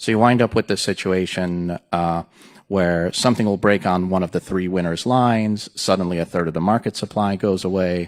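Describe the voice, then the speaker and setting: Very deep, low-pitched man's voice with fairly even intonation. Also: very clean recording, silent background. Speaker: pharmacy company executive. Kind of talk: panel conversation. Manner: fast.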